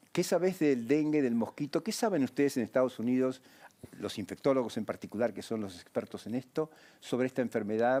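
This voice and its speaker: Dark, mellow tone and lively intonation at a moderate pace, on a very clean recording with a silent background. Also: man. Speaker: TV health show host, doctor. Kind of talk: TV interview.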